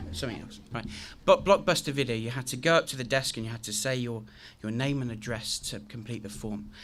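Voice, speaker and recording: Recorded very cleanly against a silent background, a man with a southern English accent speaks at a very fast pace and medium pitch, with big swings in loudness. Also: ordinary pitch variation. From southern England, Cotswolds. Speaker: guest speaker. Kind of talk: speech to an audience. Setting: school hall with audience. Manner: halting.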